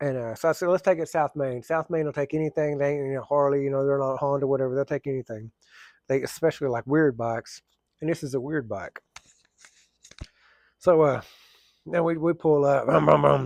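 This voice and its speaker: A fairly high-pitched man with an Oklahoma accent talks at a fairly quick pace with fairly even intonation and long, frequent pauses, in a dry, close sound with no echo. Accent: southern US (Oklahoma). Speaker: firefighter and plumber vlogger. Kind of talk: casual storytelling vlog. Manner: fast.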